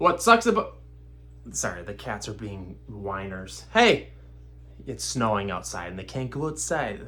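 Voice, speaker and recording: A man's fairly low, bright, sharp voice with vocal fry and very wide pitch swings, at a fairly slow pace amid audible room echo. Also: big swings in loudness. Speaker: houseplant YouTuber. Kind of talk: casual tutorial. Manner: casual, rambling.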